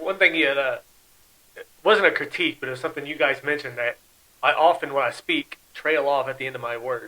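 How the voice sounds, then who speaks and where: This man's voice sits at a fairly high pitch with ordinary pitch variation. He talks at a fairly quick pace. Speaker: podcast host. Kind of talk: casual chat. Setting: studio. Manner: trails off at sentence ends; falling intonation, down talker.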